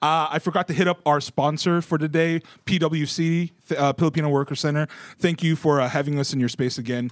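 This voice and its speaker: Over a very clean recording with a silent background, a man with an ordinary speaking voice talks at a fairly quick pace, his fairly high pitch held to a fairly even intonation. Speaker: podcast host. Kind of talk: casual chat. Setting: live video podcast.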